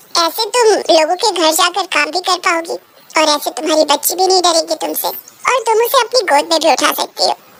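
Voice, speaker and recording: At a fairly quick pace, a woman performs a cartoonish character voice at an extremely high pitch. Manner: grand, reassuring.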